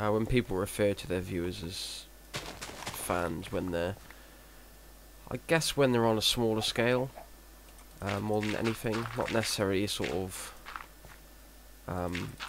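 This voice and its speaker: Against noticeable background noise, a man with a fairly low pitch talks at a fairly slow pace with long, frequent pauses. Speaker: gaming video commentator. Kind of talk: let's play commentary. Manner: monotone; halting.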